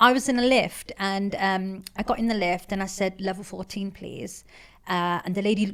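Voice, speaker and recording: An animated woman with an East Midlands accent, a bright, sharp tone and a moderate pace. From England, Leicester. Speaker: entrepreneur. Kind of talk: podcast interview. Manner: loud.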